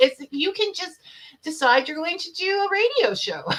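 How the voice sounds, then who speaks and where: A woman uses a raised, projected voice. Noticeable background noise can be heard. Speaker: talk show host. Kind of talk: casual interview chat. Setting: livestream show. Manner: animated.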